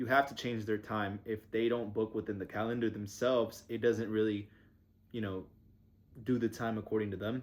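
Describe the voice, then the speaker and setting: A man's fairly low voice in a flat, monotone delivery. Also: moderate pace. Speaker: vlogger and small agency owner. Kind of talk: casual vlog. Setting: basement restroom at home. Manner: casual, rambling pace.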